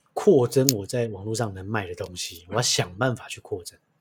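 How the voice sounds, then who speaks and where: A man talks at a moderate pace in a somewhat breathy, medium-pitched voice whose pitch varies an ordinary amount. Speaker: podcast host, chef. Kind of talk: casual chat.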